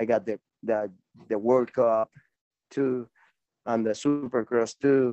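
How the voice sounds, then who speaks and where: With music in the background, a man with a Spanish accent speaks very slowly at a medium pitch, his intonation fairly even and his pauses long and frequent. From Venezuela. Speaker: professional BMX racer. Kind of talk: casual interview. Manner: halting.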